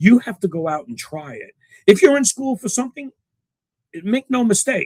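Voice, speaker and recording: This man speaks with a New York accent and very wide pitch swings, and the sound is dry and close with no echo. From New York City, Queens. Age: 70s. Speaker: engineer. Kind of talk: interview. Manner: halting.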